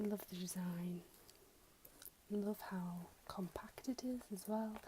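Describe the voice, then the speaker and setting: A soft-spoken voice is whispering. It moves at a fairly slow pace. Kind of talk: ASMR unboxing, casual talk to camera. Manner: soft-spoken, whispered.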